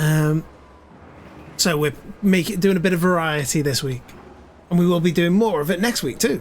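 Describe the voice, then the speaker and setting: A man with a British accent, high pitch and ordinary pitch variation, at a moderate pace with long, frequent pauses. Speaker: video game streamer. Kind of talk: live gaming stream commentary. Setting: live stream. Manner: casual, thinking aloud.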